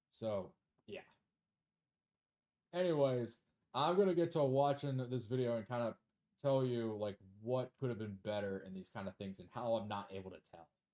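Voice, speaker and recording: A quiet man's dark, mellow voice with lively intonation, big swings in loudness and long, frequent pauses. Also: medium pitch for a man, moderate pace. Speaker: gaming youtuber and streamer. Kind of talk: casual video commentary and self-review. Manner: low energy, quiet; hesitant, many fillers.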